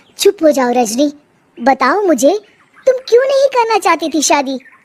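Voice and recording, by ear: A woman uses a cartoonish character voice at an extremely high pitch with very wide pitch swings. She speaks at a moderate pace.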